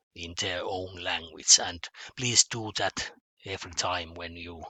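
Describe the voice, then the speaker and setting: Fairly even in intonation, a man speaks with a Finnish accent and a bright, sharp tone. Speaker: mathematics teacher. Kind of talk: online lesson. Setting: home office. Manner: halting, many fillers and repetitions.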